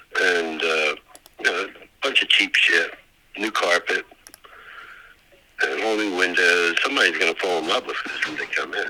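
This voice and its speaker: A man speaks at a moderate pace over noticeable background noise. He leaves long, frequent pauses. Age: 70s. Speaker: property owner and Vietnam veteran. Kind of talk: phone call with real estate wholesaler. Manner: casual, rambling with fillers.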